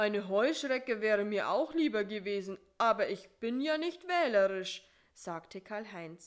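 Lively intonation over plain reading aloud

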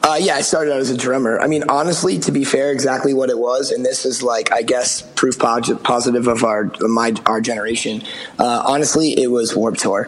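A man with an American accent at medium pitch, fairly quick and with hardly any pauses, fairly even in intonation, amid audible room echo and noticeable background noise. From Massachusetts, near Boston. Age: 30s. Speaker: rock band frontman. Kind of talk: casual chat.

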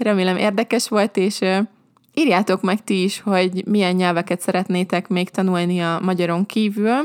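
Medium-pitched speech from a woman, very clean recording, silent background. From Hungary. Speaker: language teacher podcaster. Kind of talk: podcast monologue. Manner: slow and clear for learners.

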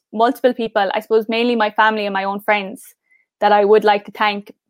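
A woman with a fairly high pitch talks at a very fast pace, and the sound is dry and close with no echo. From southern Ireland. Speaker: pageant contestant. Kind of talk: interview. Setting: video call. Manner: fast talker; gets louder when excited.

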